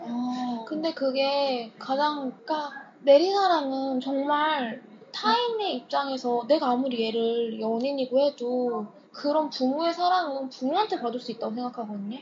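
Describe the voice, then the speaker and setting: Noticeable background noise runs behind a woman's high-pitched voice. She speaks at a moderate pace with ordinary pitch variation. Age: 20s. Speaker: guest seeking advice. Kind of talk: casual chat. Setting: library.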